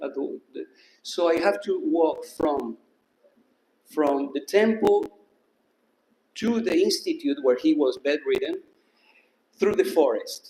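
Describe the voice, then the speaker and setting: Long, frequent pauses mark this man's very slow speech. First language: not English. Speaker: disciple sharing memories. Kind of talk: testimony. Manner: halting.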